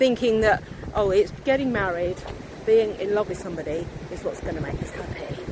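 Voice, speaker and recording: A woman speaks in a British accent, her loudness swinging widely. Noticeable background noise runs behind her. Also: medium pitch for a woman, ordinary pitch variation, fairly quick pace. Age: 60s. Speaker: vlogger and meditation teacher. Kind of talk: casual vlog monologue. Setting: outdoors by the beach. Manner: hesitant, with fillers.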